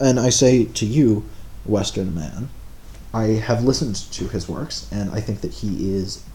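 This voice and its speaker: In a fairly low pitch with ordinary pitch variation, a man speaks amid audible room echo. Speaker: live streamer. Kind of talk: live stream commentary answering chat. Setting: live stream. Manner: halting, stammering.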